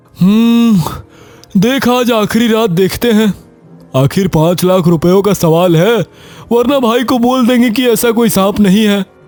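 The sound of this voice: A man does a cartoonish character voice, high in pitch, at a moderate pace. Faint music plays in the background.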